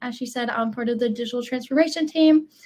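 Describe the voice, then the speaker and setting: A woman's high-pitched voice in a Southern US accent. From US South, Alabama. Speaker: digital transformation team member, co-presenter. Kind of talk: webinar introduction, casual.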